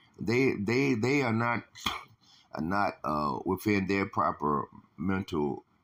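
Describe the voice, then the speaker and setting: A man's fairly low voice, fairly slow in pace, with very wide pitch swings. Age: 60s. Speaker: religious teacher. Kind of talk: religious lesson. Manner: halting, many fillers.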